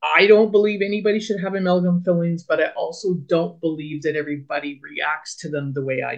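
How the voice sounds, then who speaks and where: Delivered at a fairly quick pace with hardly any pauses, a normal speaking voice shows big swings in loudness and ordinary pitch variation. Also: woman, fairly low pitch for a woman. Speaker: podcast co-host. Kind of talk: casual chat.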